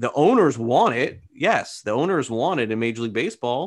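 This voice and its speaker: A man has an ordinary speaking voice at a medium pitch, with lively intonation and a fairly quick pace. The background is quiet. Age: 40s. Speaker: baseball reporter. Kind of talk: casual interview.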